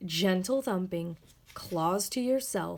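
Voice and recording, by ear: The voice is natural. Someone reads aloud with it.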